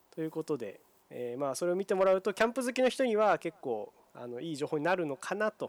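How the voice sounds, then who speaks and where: Very wide pitch swings and a very fast pace come through a dry, close sound with no echo. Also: man, high pitch for a man. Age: 20s. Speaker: podcast co-host, camping blogger. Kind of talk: casual chat.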